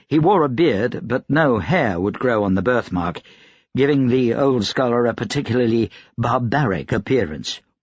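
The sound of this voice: This is an unforced reading voice.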